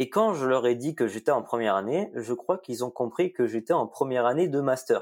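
In a normal speaking voice, a man talks at a fairly quick pace with hardly any pauses. His pitch is medium, his intonation lively, and the recording very clean with a silent background. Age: 20s. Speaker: computer science student. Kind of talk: interview.

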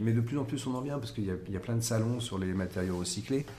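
The voice is somewhat breathy with lively intonation. Audible room echo surrounds it. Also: man. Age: 50s. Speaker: architect. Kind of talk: interview. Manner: halting, with repetitions and fillers.

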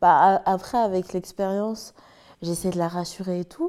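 A woman's medium-pitched, dark, mellow voice with fairly even intonation. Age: 20s. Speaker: social media manager in training. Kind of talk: casual chat.

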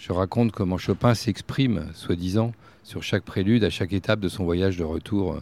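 The man's pitch is fairly low and varies in an ordinary way. He speaks at a moderate pace. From France, Berry (Bourges). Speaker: festival director and writer. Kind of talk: casual chat. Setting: outdoors.

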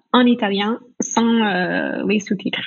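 A woman speaks very slowly with an American accent and ordinary pitch variation. Her voice is somewhat breathy. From United States. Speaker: business owner, language training. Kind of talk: casual interview. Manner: hesitant, many fillers.

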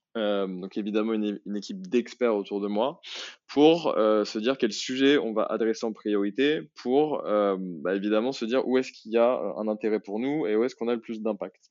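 A medium-pitched man's voice with ordinary pitch variation. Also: moderate pace. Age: 30s. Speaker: marketing executive at a startup. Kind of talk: interview. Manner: hesitant, many fillers.

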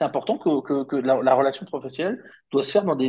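Speaking at a very fast pace, a man uses lively intonation in a fairly high voice. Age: 50s. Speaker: company founder. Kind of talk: interview. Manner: halting, many fillers.

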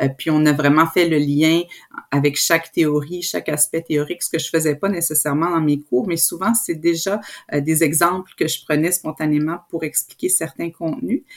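A woman's very deep, low-pitched voice with fairly even intonation. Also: moderate pace. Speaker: professor. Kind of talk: interview.

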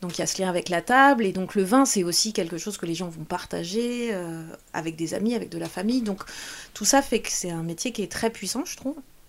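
A woman speaks in a plain, everyday voice at a medium pitch. Her pace is fairly quick and her intonation lively. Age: 40s. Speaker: wine merchant and sommelier. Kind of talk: interview conversation.

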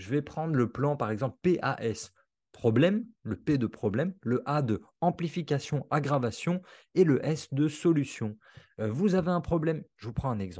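Over a quiet background, a man with a fairly high pitch speaks at a fairly slow pace, his dark, mellow tone somewhat breathy and his intonation lively. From Alsace, France. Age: 30s. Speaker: copywriter and trainer. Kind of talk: interview podcast.

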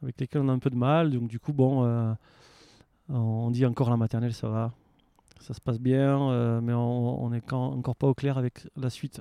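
A man in a southern French accent speaks at a moderate pace with long, frequent pauses, at medium pitch, with monotone, flat intonation and a dark, mellow tone, in a dry, close sound with no echo. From France, Aveyron. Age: 40s. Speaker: waste prevention worker and traveller. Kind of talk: casual interview. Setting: outdoors in a garden.

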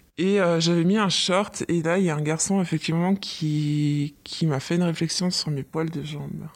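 A woman with a fairly low voice speaks at an average speed. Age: 30s. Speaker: office worker, mother. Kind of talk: casual chat.

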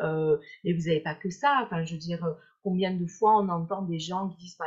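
Moderate pace and ordinary pitch variation. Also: woman. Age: 50s. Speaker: hypnotherapist and weight-loss coach. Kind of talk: live-stream interview. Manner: hesitant, repeating words.

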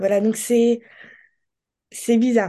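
A woman speaks at a moderate pace in a fairly high voice with a dark, mellow tone. The background is quiet. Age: 20s. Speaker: person living with ALS. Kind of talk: testimony.

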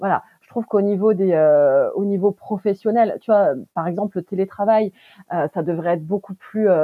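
At a fairly quick pace, a woman speaks at medium pitch with ordinary pitch variation. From France, Turkish-born parents. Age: 30s. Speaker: family caregiver. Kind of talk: testimony. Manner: halting, many hesitations.

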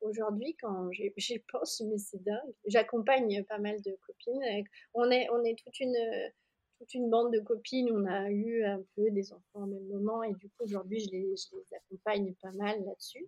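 A woman speaks at a moderate pace in a fairly high voice with fairly even intonation, a plain, everyday voice. Her loudness swings a lot, and the sound is dry and close with no echo. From France, Jura. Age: 30s. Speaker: yoga teacher and studio founder. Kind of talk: interview.

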